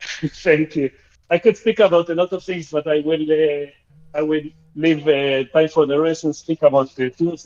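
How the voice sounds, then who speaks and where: A man's fairly high voice with a slight Argentinian accent and ordinary pitch variation, in a dry, close sound with no echo. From Argentina. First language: Spanish. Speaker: caller. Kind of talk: call-in comment. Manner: hesitant, with fillers.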